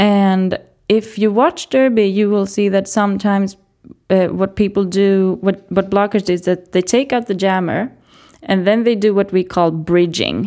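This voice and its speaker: On a very clean recording with a silent background, a woman with a Swedish accent speaks in a dark, mellow tone at a medium pitch and a moderate pace, with fairly even intonation and very even loudness. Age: 20s. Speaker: teacher and roller derby player. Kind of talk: casual interview. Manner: halting.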